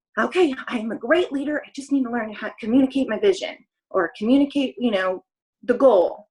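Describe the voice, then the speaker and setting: A woman talks with lively intonation. Her pitch is high. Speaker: network marketing coach. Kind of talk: motivational talk on group call. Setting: group call. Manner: animated.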